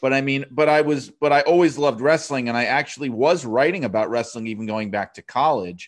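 In a New York accent, a man of medium pitch speaks at a fairly quick pace with ordinary pitch variation against a quiet background. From New York City. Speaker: wrestling writer and author. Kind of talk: casual interview chat.

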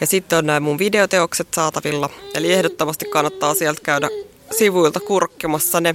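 In a dry, close recording with no echo but noticeable background noise, a woman with a fairly low pitch talks at a fairly quick pace, her loudness very even and her intonation fairly even. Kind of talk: poem reading, performed verse; casual interview chat. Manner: rhythmic, expressive delivery.

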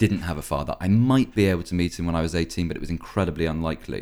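This man's voice sits very deep and low. The recording is very clean and the background silent. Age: 20s. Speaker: actor and writer. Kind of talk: casual chat.

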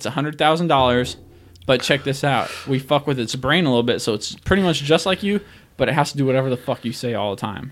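A man speaks at a very fast pace with a medium pitch and ordinary pitch variation. The recording is very clean, with a silent background. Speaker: guest co-host of sports podcast. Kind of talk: casual chat, profane banter. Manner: casual, interrupting, animated.

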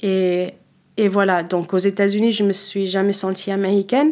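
A woman speaks at a moderate pace and medium pitch with fairly even intonation. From United States (Philadelphia area), born in Cape Verde. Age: 30s. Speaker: wine professional, former sommelier. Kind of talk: interview. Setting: studio. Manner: halting, many hesitations.

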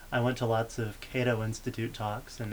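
A man with an American accent at a medium pitch, very fast and monotone, with flat intonation over noticeable background noise. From Texas. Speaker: graduate student in politics. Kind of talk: casual chat.

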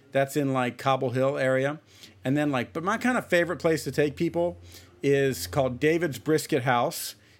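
A man with an unremarkable speaking voice, fairly high pitch, ordinary pitch variation and a moderate pace. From Ohio, US Midwest. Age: 30s. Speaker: jazz trumpet player. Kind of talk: casual interview chat.

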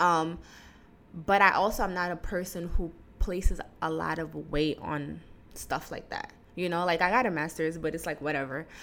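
This woman's voice is fairly low-pitched with vocal fry and fairly even intonation. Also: moderate pace. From Guinea. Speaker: podcast host. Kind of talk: solo monologue podcast. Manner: casual, laughing.

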